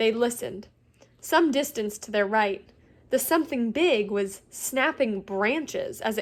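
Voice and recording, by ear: The intonation moves in a lively way. Text is read aloud in a natural voice.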